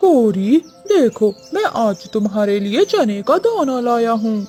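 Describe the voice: Faint music plays behind a female-sounding cartoonish character voice pitched fairly high and moving at a fairly slow pace.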